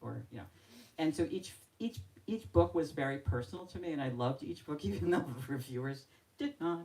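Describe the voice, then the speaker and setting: A woman's very deep, low voice with a dark, mellow tone, vocal fry, very wide pitch swings and long, frequent pauses. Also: fairly quick pace. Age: 60s. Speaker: novelist. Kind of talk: author talk at book event. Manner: halting.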